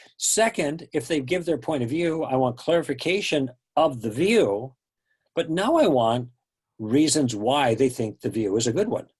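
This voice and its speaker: A man with an American accent and a normal speaking voice, fairly high in pitch, at a moderate pace with lively intonation, over a quiet background. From US Midwest, Chicago. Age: 60s. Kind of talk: interview.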